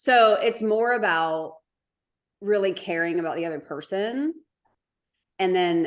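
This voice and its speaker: With an American accent, a woman speaks at a fairly slow pace. Her tone is animated, and her pitch varies in an ordinary way. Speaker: business co-founder. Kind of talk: podcast interview. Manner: loud.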